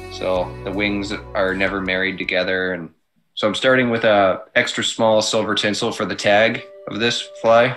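Music plays in the background as a man speaks at a moderate pace. His pitch is fairly low, with ordinary variation. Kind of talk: tutorial. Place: home room. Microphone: webcam.

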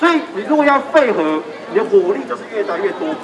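A man's extremely high voice at a fairly quick pace, with crowd noise in the background. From Taiwan (grew up partly in central Taiwan). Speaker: referendum campaigner; speaker. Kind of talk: political campaign speech. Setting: outdoor street rally. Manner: animated. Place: street. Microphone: handheld.

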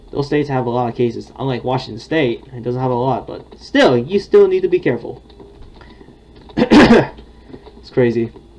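Speech comes at a moderate pace with big swings in loudness. Noticeable background noise is present. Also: man. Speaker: gaming YouTuber and vlogger. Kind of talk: casual, chatty.

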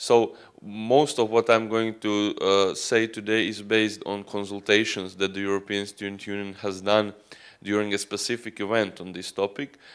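Here a man speaks with a Croatian accent at a fairly low pitch. His intonation is fairly even, and the background is quiet. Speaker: student union representative; conference presenter. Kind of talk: conference talk. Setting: conference stage with audience. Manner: halting. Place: hall. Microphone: handheld.

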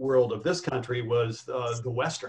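In a normal speaking voice, a man talks at medium pitch. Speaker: veteran screenwriter. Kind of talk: panel discussion. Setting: video call.

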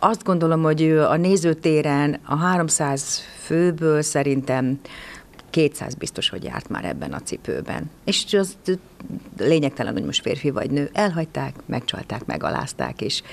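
A woman at a moderate pace, light background noise behind her. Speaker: stage actress. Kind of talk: interview answer. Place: stage. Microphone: handheld.

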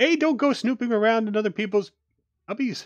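A man does a put-on character voice at a high pitch and a fairly quick pace. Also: ordinary pitch variation. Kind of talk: authoritative. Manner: stern, scolding.

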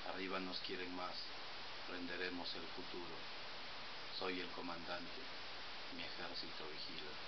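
Fairly slow speech with long, frequent pauses over loud background noise. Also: man. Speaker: poet. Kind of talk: poem performed, read aloud. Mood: romantic, dramatic. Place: home room. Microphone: webcam.

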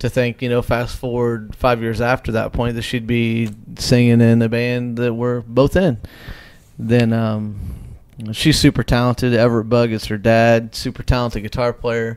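A man at medium pitch talks in a monotone, flat intonation. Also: moderate pace. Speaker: podcast host and musician; podcast host. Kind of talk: casual chat. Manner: poorly enunciated. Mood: relaxed, warm. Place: home room. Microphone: handheld.

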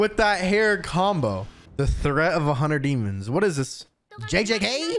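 A man speaks with music in the background. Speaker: streamer. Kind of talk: reaction commentary. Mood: amused, joking. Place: home room. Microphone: studio mic.

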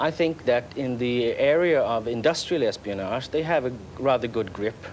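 Speaking with a Swedish accent at a moderate pace, a man uses lively intonation over light background noise. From Sweden. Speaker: journalist and author. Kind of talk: TV interview. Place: waterside. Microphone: lapel.

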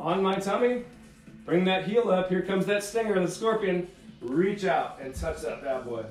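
A man's high-pitched voice with ordinary pitch variation at a moderate pace, with audible room echo and faint background music. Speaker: fitness instructor. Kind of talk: workout instruction. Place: home room. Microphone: camera far.

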